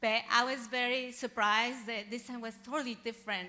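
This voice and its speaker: A woman speaks at a moderate pace with a Spanish accent, her fairly high voice bright and sharp but flat and monotone in intonation. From Mexico. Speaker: software engineering graduate. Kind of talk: graduation presentation.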